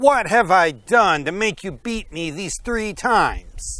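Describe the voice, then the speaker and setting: A man uses a put-on character voice pitched high for a man. He talks at a fairly slow pace. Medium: read story.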